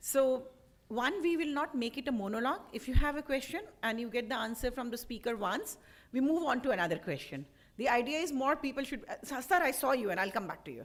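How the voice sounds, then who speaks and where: A woman speaks loud and very fast, with a high pitch and lively intonation. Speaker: moderator. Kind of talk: question session moderation.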